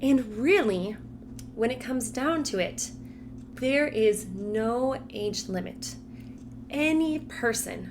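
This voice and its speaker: With an American accent and vocal fry, a woman speaks with ordinary pitch variation amid audible room echo. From Colorado, US. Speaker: Spanish teacher. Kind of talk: casual vlog talk to camera.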